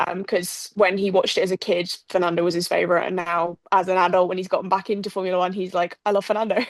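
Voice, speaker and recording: Speaking at a very fast pace with hardly any pauses, a woman with an English accent has a medium pitch. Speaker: podcast co-host. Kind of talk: casual chat. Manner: animated.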